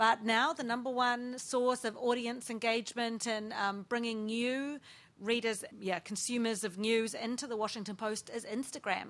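The recording is very clean, with a silent background. A woman with a New Zealand accent speaks at a fairly high pitch and a moderate pace. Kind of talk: panel discussion. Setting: stage with live audience.

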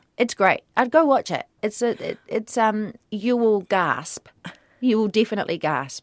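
A woman in a New Zealand accent speaks at fairly high pitch with lively intonation, the sound dry and close with no echo. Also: fairly slow pace. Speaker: actor. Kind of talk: radio interview.

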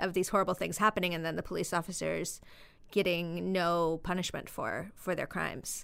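A woman speaks in an American accent with vocal fry and monotone, flat intonation. The recording is very clean, with a silent background. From US West, southern Idaho. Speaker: novelist. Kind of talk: interview.

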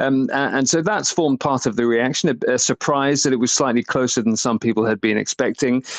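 Delivered at a fairly quick pace, an unremarkable speaking voice comes through dry and close, with no echo. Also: man. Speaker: UK correspondent.

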